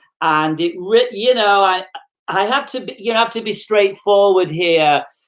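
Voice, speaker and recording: In an English accent, a woman speaks at medium pitch. Her pitch varies in an ordinary way at a fairly slow pace. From England, Manchester. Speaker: motivational speaker. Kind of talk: interview, personal story.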